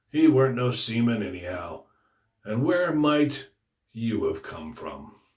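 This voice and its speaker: Using a put-on character voice, a man speaks gruff and raspy at a medium pitch and a fairly slow pace. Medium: read story. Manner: sly, wheedling.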